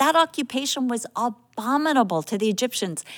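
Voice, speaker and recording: A woman with an ordinary speaking voice and an American accent, lively intonation and a fairly quick pace, in a very clean, dry, close recording with a silent background and no echo. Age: 60s. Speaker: Bible teacher. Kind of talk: Bible teaching.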